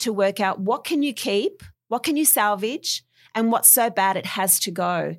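Recorded very cleanly against a silent background, a woman with an Australian accent speaks at a medium pitch. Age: 40s. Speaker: property renovator. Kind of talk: interview.

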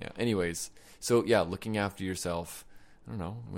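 The voice has a playful tone, a moderate pace and fairly even intonation, in a very clean recording with a silent background. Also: man. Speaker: podcast host. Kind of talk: casual chat. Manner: joking, playful.

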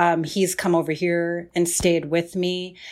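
A woman speaks at a medium pitch with an American accent. The recording is very clean, with a silent background. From New York area, Queens and Central New Jersey. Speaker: writer and death doula. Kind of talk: casual interview chat. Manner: halting, many fillers and restarts.

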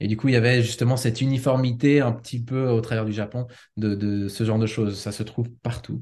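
The voice is somewhat breathy and fairly quick, with monotone, flat intonation. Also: man, medium pitch for a man. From Switzerland, father from Ticino. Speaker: home cook who lived in Japan. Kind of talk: podcast interview. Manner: hesitant, many fillers.

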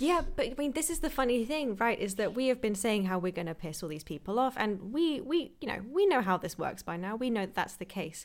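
A woman with a British accent talks at a fairly quick pace and a fairly high pitch, with hardly any pauses. Her pitch swings very widely, and the recording is very clean with a silent background. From Britain. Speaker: nutritionist and podcast host. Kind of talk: casual chat.

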